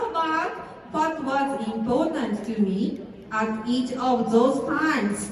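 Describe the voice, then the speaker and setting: A woman speaks very slowly in a Japanese accent, her high voice full of lively intonation, with audible room echo and crowd noise in the background. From Japan, Shizuoka. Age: 30s. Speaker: network marketing distributor. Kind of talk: motivational speech. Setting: stage with audience. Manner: careful, halting.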